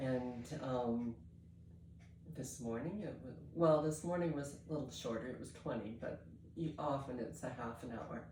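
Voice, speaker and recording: With audible room echo, a woman speaks in a very deep, low pitch with lively intonation. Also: moderate pace. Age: 70s. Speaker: fitness coaching client. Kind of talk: testimony. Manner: halting.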